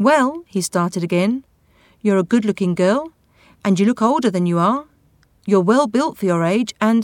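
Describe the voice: Someone does plain reading aloud.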